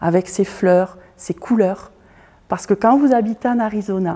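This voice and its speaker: Speaking very slowly, a woman with a Toulouse accent has a medium pitch, fairly even intonation and a dark, mellow tone. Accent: Toulouse accent, proud of it. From southern France, Toulouse. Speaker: artist and fashion designer, former teacher. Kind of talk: interview monologue. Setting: art school building with glass roof. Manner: hesitant, many filler sounds.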